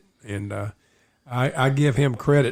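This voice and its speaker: At a moderate pace and with ordinary pitch variation, a male speaker sounds somewhat breathy. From East Tennessee. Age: 60s. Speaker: local historian and tour guide. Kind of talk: casual storytelling interview. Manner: halting with many fillers.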